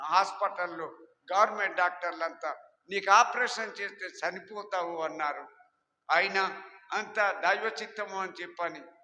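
Raising and projecting his voice, a man speaks at a high pitch with fairly even intonation. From East Godavari agency area, Andhra Pradesh, India. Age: 70s. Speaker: church founder. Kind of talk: testimony. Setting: church.

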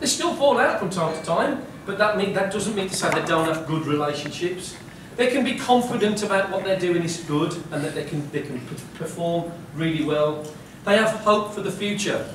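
Over light background noise and audible room echo, a man speaks at a moderate pace in a high pitch. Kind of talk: talk to children. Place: classroom. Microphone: camera far.

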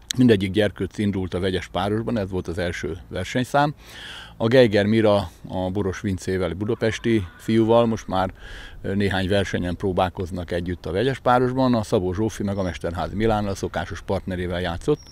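A man speaks in a normal speaking voice, fairly low in pitch with ordinary variation. The pace is moderate and the sound is dry with no echo. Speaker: badminton coach. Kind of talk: interview.

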